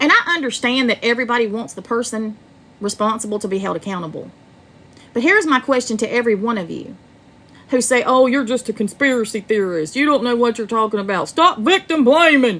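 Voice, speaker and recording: A woman's fairly high voice with an American accent, lively intonation and a fairly quick pace. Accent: American Southern, some call it fake. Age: 40s. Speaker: true crime livestreamer. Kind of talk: livestream commentary. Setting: livestream. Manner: animated.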